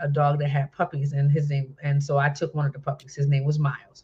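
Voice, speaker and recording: A woman speaks with an American accent. Her voice is very deep and low and somewhat breathy. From New Jersey. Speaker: minister and talk show host. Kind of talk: testimony.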